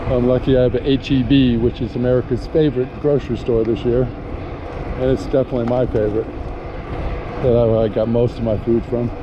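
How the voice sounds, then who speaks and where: Noticeable background noise runs under a man of medium pitch talking at a fairly quick pace. His intonation is monotone and flat, his loudness very even. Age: 60s. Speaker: vlogger. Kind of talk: casual vlog narration while riding. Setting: outdoors on an e-bike.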